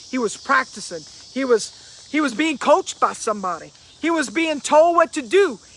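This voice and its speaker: A man's extremely high-pitched voice with lively intonation at a moderate pace. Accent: Cajun. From Louisiana. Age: 50s. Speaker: motivational speaker. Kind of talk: motivational live stream talk.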